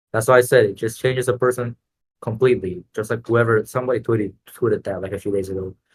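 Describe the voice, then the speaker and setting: The somewhat breathy voice runs at a very fast pace with fairly even intonation, sounding dry and close with no echo. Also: man, medium pitch for a man. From Latin America. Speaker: Roblox game entrepreneur. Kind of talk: podcast interview. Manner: casual, many filler words.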